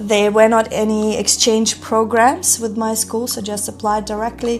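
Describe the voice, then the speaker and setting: A woman with a German accent speaks at a moderate pace, her pitch fairly high and her intonation fairly even. Noticeable background noise runs underneath. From Germany. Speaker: entrepreneur. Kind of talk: interview.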